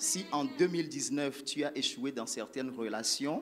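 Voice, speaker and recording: A man talks at a fairly slow pace. There is music in the background. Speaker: church group leader teaching. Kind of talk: church teaching talk. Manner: soft-spoken, slow.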